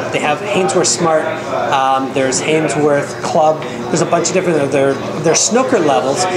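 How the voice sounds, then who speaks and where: Over loud background noise, a man talks at a moderate pace. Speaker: video host and pool equipment seller. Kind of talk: product review interview. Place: hall.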